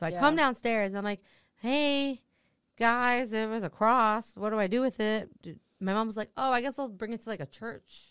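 With an American accent, a woman speaks in a normal speaking voice at a fairly high pitch and moderate pace, with ordinary pitch variation, on a very clean recording with a silent background. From New Jersey. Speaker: comedian. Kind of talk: casual chat.

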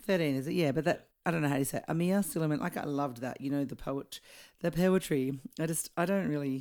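A woman with an Australian accent, very deep and low in pitch, ordinary pitch variation, very fast pace, very clean recording and silent background. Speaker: singer and guest co-host. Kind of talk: casual chat. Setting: at her home.

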